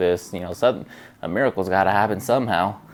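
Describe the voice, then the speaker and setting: A man's fairly low, mumbling voice in a very clean recording with a silent background. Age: 20s. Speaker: vlogger. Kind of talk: casual vlog monologue. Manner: hesitant, many fillers.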